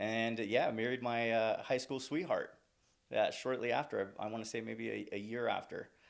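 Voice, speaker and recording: A man's medium-pitched voice at a moderate pace. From California. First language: Spanish. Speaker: recruiter. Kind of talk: podcast interview. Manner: chatty.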